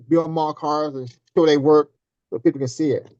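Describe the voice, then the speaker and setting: With a normal speaking voice, a man talks at a moderate pace in a fairly high pitch, his intonation fairly even and the sound dry and close with no echo. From US South, Tennessee. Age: 60s. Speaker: scale model car builder. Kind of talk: casual interview chat.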